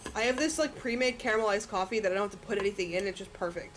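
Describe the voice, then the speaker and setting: A woman with a medium pitch rattles along at a very fast pace over noticeable background noise. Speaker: streamer. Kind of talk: casual live-stream chat while gaming. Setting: live stream with music playing. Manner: loud; chatty, filler-heavy.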